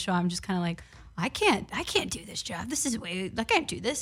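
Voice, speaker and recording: Energetic and animated, a woman talks at medium pitch in a New York accent. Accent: New York (Bronx). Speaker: sports reporter. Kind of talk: casual interview. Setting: studio. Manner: energetic, animated.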